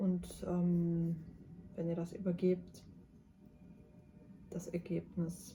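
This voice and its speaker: A woman's very slow, fairly low, somewhat breathy voice, dark and mellow in tone, with monotone, flat intonation and long, frequent pauses. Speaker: tarot card reader, mystic guide. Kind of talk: tarot reading to camera. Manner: soft-spoken at times, quiet in the second pile.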